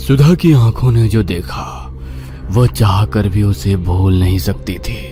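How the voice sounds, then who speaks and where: A man's fairly low, put-on character voice in a dramatic tone over clear music in the background. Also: moderate pace. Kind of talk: horror narration. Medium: audio drama. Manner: suspenseful, dramatic.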